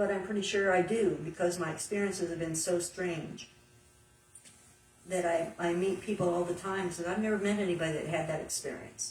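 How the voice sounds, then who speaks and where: Against noticeable background noise, a woman talks at a fairly quick pace with a fairly low pitch and fairly even intonation. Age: 60s. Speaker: guest. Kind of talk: casual chat.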